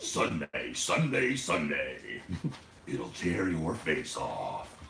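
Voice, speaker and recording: A raspy put-on character voice from a man, very slow, over clear background noise. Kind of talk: hyped, promotional. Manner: dramatic, booming.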